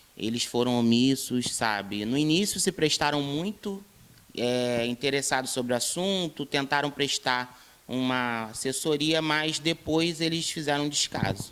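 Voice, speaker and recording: An ordinary speaking voice from a man, fairly high in pitch, with ordinary pitch variation and a fairly slow pace. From Brazil, Rio de Janeiro state (São Gonçalo). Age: 20s. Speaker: interviewee, activist. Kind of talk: interview.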